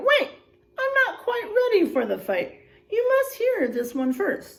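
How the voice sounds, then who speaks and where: A woman puts on a squeaky character voice at an extremely high pitch. She speaks at a fairly slow pace. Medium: read story.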